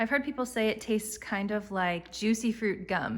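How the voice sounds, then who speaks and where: A woman with an American accent, a normal speaking voice, a fairly quick pace and fairly even intonation. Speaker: lifestyle blogger. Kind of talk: casual home tour talk to camera.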